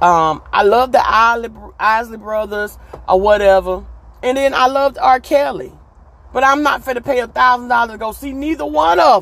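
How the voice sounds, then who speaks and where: A woman's fairly high voice with very wide pitch swings, an animated tone, and a moderate pace. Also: big swings in loudness. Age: 40s. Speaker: podcast host. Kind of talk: casual monologue.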